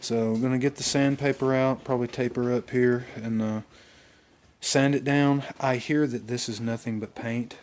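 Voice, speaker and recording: At a moderate pace, a man with an Alabama accent talks in a monotone, flat intonation at a medium pitch. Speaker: car enthusiast vlogger. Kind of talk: casual vlog walkthrough. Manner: casual, hesitant with fillers.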